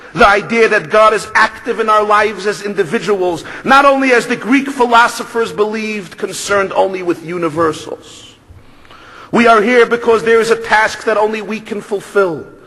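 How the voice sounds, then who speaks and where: Someone with a Brooklyn accent speaks at a moderate pace in a raised, projected voice over noticeable background noise. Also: man, high pitch for a man, ordinary pitch variation. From Brooklyn, New York. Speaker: rabbi. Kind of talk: speech.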